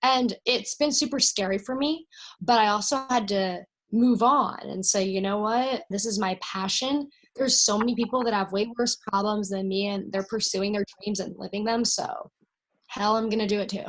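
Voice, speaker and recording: A woman speaks at a moderate pace in a fairly high pitch with ordinary pitch variation. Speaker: country singer and actress. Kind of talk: interview.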